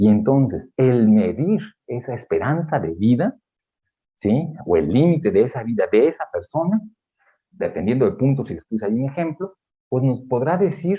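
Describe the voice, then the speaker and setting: A man speaks at a fairly slow pace with medium pitch and very wide pitch swings. His voice is somewhat breathy. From Mexico. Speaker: geriatrician. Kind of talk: lecture. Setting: auditorium with audience.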